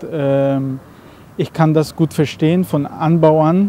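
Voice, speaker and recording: A man at a very slow pace, with a dark, mellow tone, a dry sound with no echo, and light background noise. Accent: non-native. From Caribbean, Aruba. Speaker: coffee roaster and shop owner. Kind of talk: interview. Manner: halting.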